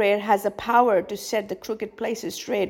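Her voice sits at a medium pitch. The speaker is a woman. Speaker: preacher. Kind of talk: fervent sermon on prayer, exhortation. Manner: fervent, emphatic; repetitive, rhythmic, preacherly cadence.

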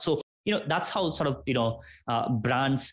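A man speaks with ordinary pitch variation. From Nepal. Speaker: podcast entrepreneur. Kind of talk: interview.

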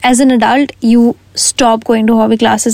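Speaking at a fairly quick pace, a woman uses a fairly high pitch and monotone, flat intonation. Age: young (19, turning 20). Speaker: podcast host. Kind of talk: casual solo podcast talk.

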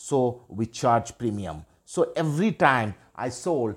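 Very clean recording, silent background, and a man of medium pitch with a Bengali accent. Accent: Indian English (Bengali). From India, West Bengal. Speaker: life coach. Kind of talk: personal story monologue.

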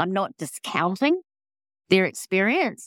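In a New Zealand accent, a woman is heard in a very clean recording with a silent background. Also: dry, close sound with no echo. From New Zealand (born in England). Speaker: paranormal investigator. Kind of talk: casual interview.

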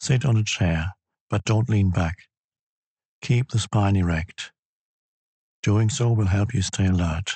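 A man's somewhat breathy, calm, soothing voice, fairly low in pitch with ordinary pitch variation, at a fairly slow pace with long, frequent pauses and very even loudness. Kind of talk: guided meditation: slow, calm, instructional, spoken as spiritual teaching. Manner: slow, calm, soothing, measured.

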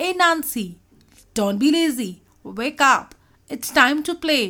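Putting on a character voice, a woman speaks slowly in a high, bright, sharp tone with lively intonation.

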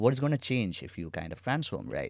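A man with a plain, everyday voice speaks with lively intonation on a very clean recording with a silent background. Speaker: co-founder and chief product officer. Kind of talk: casual conversational chat.

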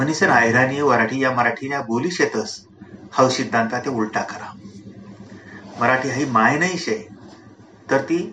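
Over noticeable background noise and audible room echo, a man speaks. His pitch is medium, with ordinary variation. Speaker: professor and literary conference president. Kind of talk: public speech.

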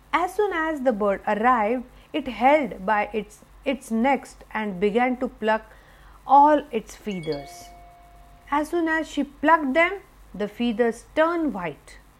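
With a warm, animated tone, a woman speaks in a high voice that swings very widely in pitch, leaving long, frequent pauses. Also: fairly slow pace. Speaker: storyteller. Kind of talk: fairy-tale narration for children. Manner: warm, animated storyteller voice.

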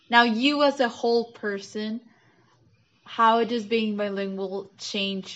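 A woman's normal speaking voice at medium pitch, with fairly even intonation and a fairly slow pace. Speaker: student interviewer. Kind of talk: casual interview.

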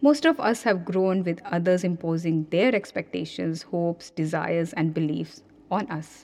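Her pace is fairly slow. The woman has an ordinary speaking voice at medium pitch. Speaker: parenting coach and podcast host. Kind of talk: scripted solo podcast monologue. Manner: calm, soothing, reflective.

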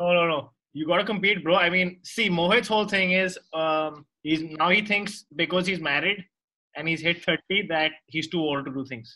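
This man has a high pitch and a bright, sharp tone. He keeps a moderate pace with ordinary pitch variation. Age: 30s. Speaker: jiu-jitsu gym owner and podcast co-host. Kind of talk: casual interview chat.

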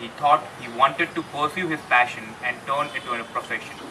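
Noticeable background noise sits under speech that has ordinary pitch variation and a moderate pace. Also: man. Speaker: podcast host. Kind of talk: casual interview chat.

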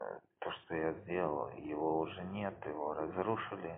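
Very deep and low in pitch, a man speaks at a very slow pace with fairly even intonation. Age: 30s. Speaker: amateur podcaster. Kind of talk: casual monologue while watching a film. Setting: at home with headphones, phone recording. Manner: rambling, hesitant. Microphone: phone mic close to speaker playing film audio.

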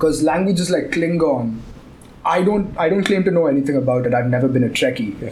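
A man's fairly high voice amid noticeable background noise and audible room echo. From India, Tamil Nadu (Chennai). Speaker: podcast co-host. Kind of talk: casual chat.

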